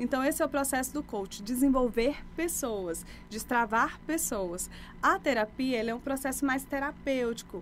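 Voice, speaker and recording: With music in the background, a woman speaks at a high pitch with ordinary pitch variation. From Brazil, Maranhão (Imperatriz), born in Bahia. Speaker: life coach. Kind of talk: podcast interview.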